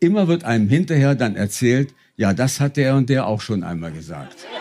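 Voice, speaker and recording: On a very clean recording with a silent background, a man of medium pitch talks at a moderate pace with very wide pitch swings. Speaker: stage reader. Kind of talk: reading aloud. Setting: stage with audience.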